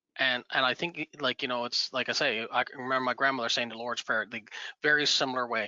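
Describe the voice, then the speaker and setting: A man rattles along at a very fast pace in a Newfoundland accent. His medium-pitched voice stays monotone and flat. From Bay of Islands, western Newfoundland. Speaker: community member, First Nation member. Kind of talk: casual virtual networking chat. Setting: video call. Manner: halting.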